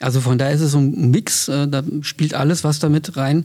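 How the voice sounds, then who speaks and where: In a dark, mellow tone, a man delivers his words at a moderate pace. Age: 50s. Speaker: trade union official. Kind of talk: interview.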